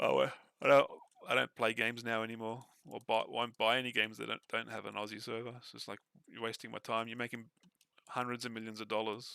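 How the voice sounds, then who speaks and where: Very fast, flat, monotone delivery in an Australian accent, bright and sharp in tone. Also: man, medium pitch for a man. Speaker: gamer. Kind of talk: casual chat. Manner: halting.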